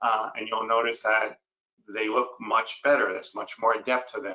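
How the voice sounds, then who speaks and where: A man with a New York accent, at a moderate pace. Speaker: dental ceramist and educator. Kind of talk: webinar lecture.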